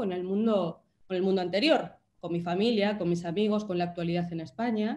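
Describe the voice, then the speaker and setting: With ordinary pitch variation, a woman talks at a moderate speed. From Spain. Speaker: writer. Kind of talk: talk in a virtual panel. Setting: video call.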